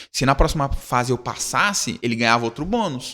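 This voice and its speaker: Animated, bright and sharp delivery with lively intonation, on a very clean recording with a silent background. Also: man. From Brazil, São Paulo / Rio de Janeiro. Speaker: youth ministry leader. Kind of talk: casual interview chat. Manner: animated, slangy storytelling.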